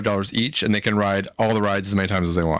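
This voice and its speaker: A man talks at a very fast pace. His pitch is fairly low, with ordinary variation. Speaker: podcast co-host. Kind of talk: casual chat. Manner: loud.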